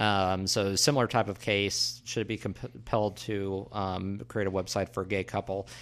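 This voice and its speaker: A man's fairly low-pitched, normal speaking voice, with lively intonation, a moderate pace and hardly any pauses. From US Midwest. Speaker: political podcast co-host. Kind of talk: casual political discussion.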